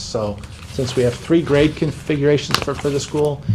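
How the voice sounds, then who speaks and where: A man speaks at a fairly quick pace. Noticeable background noise and audible room echo fill the recording. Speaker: school building project manager. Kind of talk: presentation at public meeting. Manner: fast; stuttering repetitions.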